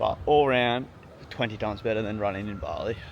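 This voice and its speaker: A man with an Australian accent speaks in a fairly low pitch. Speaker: fitness vlogger. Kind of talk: casual vlog talk to camera.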